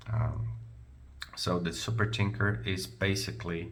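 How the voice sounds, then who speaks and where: A man speaks at a very slow pace with a non-native accent and very wide pitch swings. Audible room echo surrounds his voice. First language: not English. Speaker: product reviewer. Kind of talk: product review tutorial. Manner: halting, many fillers; casual, conversational.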